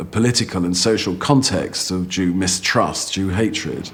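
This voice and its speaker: Noticeable background noise behind a man's very deep, low voice at a moderate pace. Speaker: literary scholar or critic. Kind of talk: interview answer, academic commentary.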